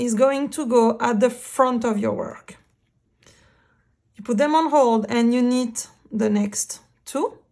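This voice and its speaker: A woman with a French accent speaks at a very slow pace, high in pitch and fairly even in intonation. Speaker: knitting instructor. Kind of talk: knitting tutorial narration.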